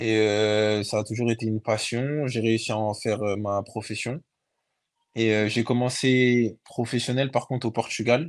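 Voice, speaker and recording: Against a quiet background, a man talks at a fairly slow pace in an ordinary speaking voice, his pitch medium. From France, Paris region (Sarcelles). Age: 20s. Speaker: professional footballer. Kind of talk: interview.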